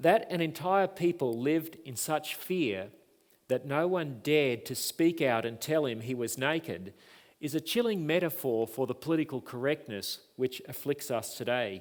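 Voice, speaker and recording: Speaking in an Australian accent, a man has a fairly high voice. The recording is very clean, with a silent background. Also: moderate pace. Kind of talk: lecture. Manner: formal.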